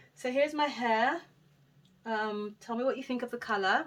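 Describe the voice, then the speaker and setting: Her intonation lively, a woman talks with a London accent. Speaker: hair vlogger. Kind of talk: casual vlog talk. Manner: fast.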